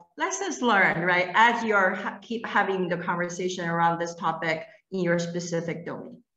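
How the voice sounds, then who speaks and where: A woman's voice has ordinary pitch variation, with audible room echo over a quiet background. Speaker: panel moderator. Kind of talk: virtual panel discussion. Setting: video call. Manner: enthusiastic. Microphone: video call.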